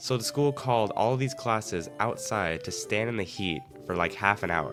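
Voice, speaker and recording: With an American accent, a man talks in a fairly low pitch over music in the background. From Arizona, USA. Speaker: animator, storyteller. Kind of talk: casual story-time narration.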